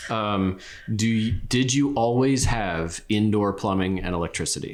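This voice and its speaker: A man speaks fairly slowly at a fairly low pitch with ordinary pitch variation. He has an unremarkable speaking voice. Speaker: family interviewer. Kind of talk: interview questions.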